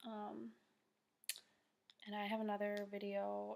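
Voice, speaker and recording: Soft-spoken and at medium pitch, a woman talks in a monotone, flat way. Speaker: network marketing team leader. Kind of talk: tutorial. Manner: soft-spoken, talking quietly; casual, filler-heavy.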